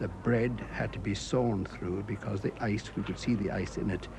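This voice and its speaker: A man speaks at a moderate pace with fairly low pitch and fairly even intonation. Noticeable background noise runs through the recording. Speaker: war veteran. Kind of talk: interview answer.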